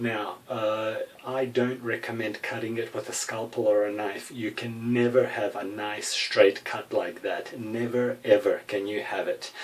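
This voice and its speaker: Over noticeable background noise, a man with a European accent speaks at medium pitch and a fairly slow pace, with hardly any pauses and a monotone, flat intonation. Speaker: gun hobbyist. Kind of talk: tutorial. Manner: hesitant, many fillers.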